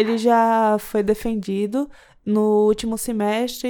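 A woman's fairly high, dark, mellow voice in a flat monotone, on a very clean recording with a silent background. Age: 20s. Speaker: computer science student. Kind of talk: casual interview.

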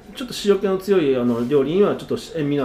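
Noticeable background noise sits behind a man's voice. He talks very fast, with very wide pitch swings. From Osaka. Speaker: sushi chef and restaurant owner. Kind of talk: interview.

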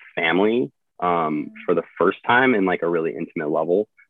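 A man speaks with a Midwestern American accent. His pitch is very deep and low, at a moderate pace. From US Midwest, central Illinois. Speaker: Coast Guard rescue swimmer. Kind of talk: casual interview.

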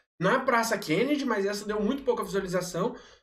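Moderate-paced male speech with ordinary pitch variation and audible room echo. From Brazil, Aparecida (Goiás). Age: 30s. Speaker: city councillor. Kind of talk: casual chat.

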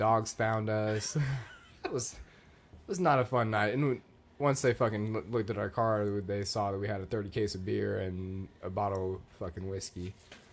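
This man has an ordinary speaking voice with a fairly low pitch. His intonation stays fairly even. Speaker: podcast guest. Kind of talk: casual chat.

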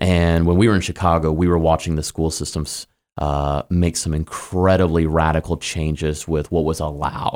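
On a very clean recording with a silent background, a man with an American accent speaks in a very deep, low voice. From US Midwest, Kansas City. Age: 30s. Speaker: pastor. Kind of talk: interview. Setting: studio. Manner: animated.

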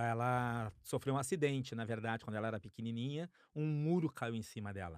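In a very clean recording with a silent background and a dry, close sound with no echo, a man with a normal speaking voice talks at a fairly quick pace and medium pitch with ordinary pitch variation. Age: 50s. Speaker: podcast co-host. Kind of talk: casual chat.

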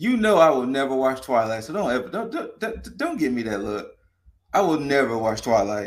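A man with an American accent speaks at a medium pitch, his voice swinging very widely up and down. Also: moderate pace. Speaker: podcast co-host. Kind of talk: casual chat.

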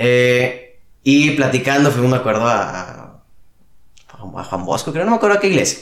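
With a normal speaking voice, a man of medium pitch talks at a fairly slow pace using lively intonation. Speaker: youth ministry worker. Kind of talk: casual interview. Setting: at home.

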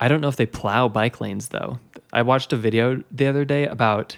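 A man speaks in a plain, everyday voice at a fairly quick pace with ordinary pitch variation. The sound is dry and close, with no echo. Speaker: podcast host. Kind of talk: casual chat.

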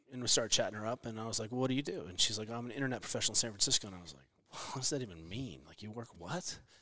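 A man talks at a very fast pace in an animated, bright, sharp tone with lively intonation. His loudness swings widely. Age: 40s. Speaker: physical therapist and fitness coach. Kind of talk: casual chat.

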